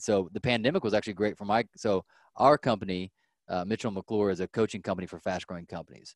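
Very fast and fairly low-pitched, a man talks with ordinary pitch variation in a dry, close sound with no echo against a quiet background. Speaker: podcast host and business coach. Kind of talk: casual interview.

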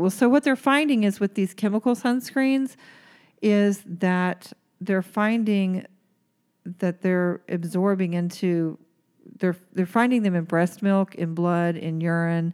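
Recorded dry and close with no echo, a woman with an ordinary speaking voice and medium pitch talks at a fairly slow pace with ordinary pitch variation. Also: very clean recording, silent background. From Oklahoma. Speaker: aesthetic nurse, podcast host. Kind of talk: casual chat.

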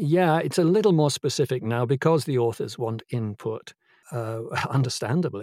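The voice has a dark, mellow tone and lively intonation. The recording is very clean and dry, with a close sound, no echo and a silent background. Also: man. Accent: British. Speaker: audiobook narrator and actor. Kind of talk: casual interview chat.

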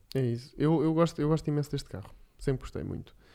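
A man delivers his words fairly quickly and with fairly even intonation while music plays behind him. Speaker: podcast co-host. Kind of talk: casual chat.

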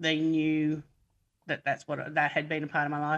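Against a quiet background, a woman speaks with a very deep, low pitch in an Australian accent. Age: 50s. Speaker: army reservist and emergency volunteer. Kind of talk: casual interview. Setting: video call.

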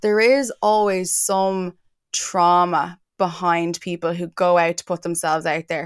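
This woman has a fairly low pitch. She speaks with an Irish accent. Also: very clean recording, silent background. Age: 30s. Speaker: entertainment website founder and journalist. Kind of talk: casual interview.

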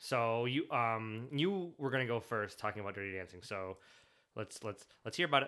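A man with an American accent speaks at a moderate pace and medium pitch, with ordinary pitch variation and a bright, sharp tone, in a very clean recording with a silent background. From US Midwest, mid-Michigan (small town). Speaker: podcast host. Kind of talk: casual chat. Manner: halting, many fillers and restarts.

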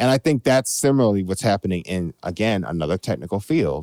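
In an American accent, a man with a normal speaking voice and fairly low pitch talks at a moderate pace with lively intonation. The recording is very clean and dry, close with no echo, over a silent background. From Chicago. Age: 30s. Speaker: jazz composer and producer. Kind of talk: casual interview.

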